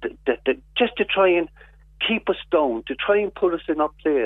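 This is a man's voice. He speaks with a Cork accent. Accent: Cork Irish. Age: 60s. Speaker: activist. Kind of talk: radio interview.

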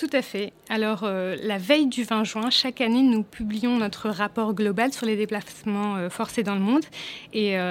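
This woman talks at a fairly slow pace. Her pitch is fairly high, with ordinary pitch variation. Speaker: UN refugee agency staff member. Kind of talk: radio interview. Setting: studio. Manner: halting.

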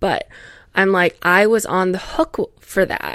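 The speech comes with an American accent and lively intonation. The pace is moderate. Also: woman. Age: 20s. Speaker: podcast host. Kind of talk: solo casual monologue. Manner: rambling, tangential.

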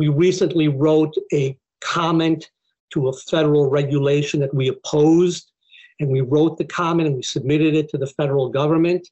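A man with an American accent and a dark, mellow tone, fairly high in pitch, at a moderate pace in a flat monotone. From Buffalo, New York, US; Mexican community. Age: 60s. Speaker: immigration law professor. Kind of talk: interview conversation.

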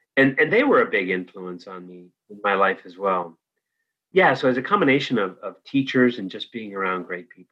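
With a Californian accent, a man speaks at a fairly quick pace with fairly low pitch and big swings in loudness. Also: ordinary pitch variation. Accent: General American (Californian). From US West Coast, San Francisco Bay Area. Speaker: organizational development consultant. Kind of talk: interview conversation.

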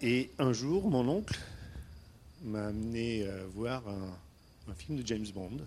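With audible room echo, a man speaks at a very slow pace using lively intonation and long, frequent pauses. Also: medium pitch for a man. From Istanbul, Turkey (Armenian family). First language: Armenian (speaking French). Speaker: entrepreneur. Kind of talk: personal storytelling talk. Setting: stage with audience. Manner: halting, many hesitations.

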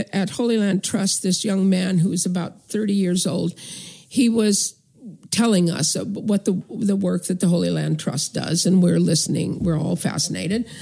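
A woman with an American accent speaks at a moderate pace with ordinary pitch variation. Her voice is somewhat breathy, with a dark, mellow tone. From northern California. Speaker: activist. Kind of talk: interview.

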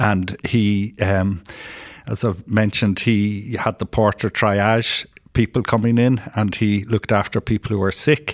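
A fairly slow, monotone delivery in a Dublin accent, with very even loudness and flat intonation. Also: man, fairly low pitch for a man. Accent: Dublin Irish. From Ireland, Dublin. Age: 60s. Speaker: retired probation officer and social work educator. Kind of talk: interview. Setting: in-person studio. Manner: halting.

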